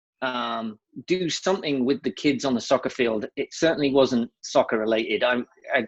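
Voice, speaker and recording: Here a man speaks with an English accent. His pitch sits in the medium range. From England. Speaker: nonprofit founder. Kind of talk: interview. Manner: casual, with many fillers.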